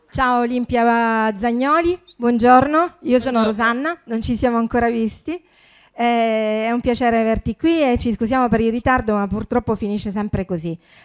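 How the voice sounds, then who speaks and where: An unremarkable speaking voice from a woman, fairly high in pitch with ordinary variation, at a moderate pace with hardly any pauses, over a quiet background. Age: 50s. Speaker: festival organizer and moderator; moderator. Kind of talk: panel moderation. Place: meeting room. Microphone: handheld.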